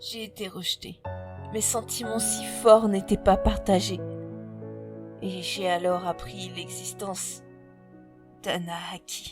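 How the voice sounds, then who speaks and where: Music plays in the background as a woman speaks at a very slow pace, with long, frequent pauses and big swings in loudness. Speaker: audiobook narrator. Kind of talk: horror story narration. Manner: slow, somber.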